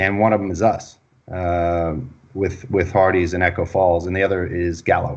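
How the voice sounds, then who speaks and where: A man with an American accent at a moderate pace. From Texas. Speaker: wine company executive. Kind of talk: interview.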